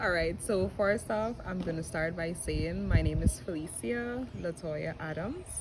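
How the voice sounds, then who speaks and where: Noticeable background noise and audible room echo accompany a woman with a Guyanese accent who speaks with hardly any pauses. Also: fairly slow pace. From Guyana. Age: 20s. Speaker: model and entrepreneur. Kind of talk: interview. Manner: halting.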